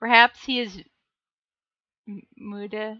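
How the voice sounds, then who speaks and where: A woman with an American accent speaks very slowly at a fairly high pitch, her tone bright and sharp. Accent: Minnesota accent, stronger after visits home. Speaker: livestreamer reading books aloud. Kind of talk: casual livestream chat, reading viewer comments. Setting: live stream.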